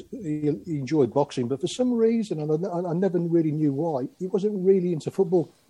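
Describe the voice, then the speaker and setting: A man speaks at a moderate pace with hardly any pauses. His pitch is high for a man, and his intonation is lively. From Aylesbury, England; born in Croatia (Yugoslavia), moved at 5-6. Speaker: sports photographer. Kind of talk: casual chat. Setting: video call.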